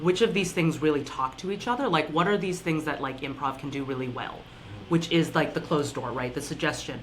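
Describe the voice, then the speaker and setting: At a fairly quick pace, someone talks with an American accent while noticeable background noise carries on. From US West, Reno, Nevada. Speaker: improv performer. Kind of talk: podcast interview.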